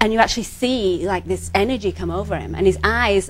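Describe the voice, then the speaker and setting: Noticeable background noise sits under a woman speaking fairly quickly in an American accent. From England. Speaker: psychic healer. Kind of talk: TV interview.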